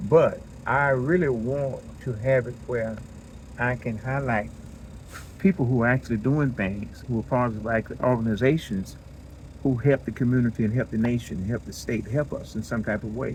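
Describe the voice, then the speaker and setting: With ordinary pitch variation, a man talks at a medium pitch and a moderate pace. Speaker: podcaster. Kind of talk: casual monologue. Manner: halting; mumbling.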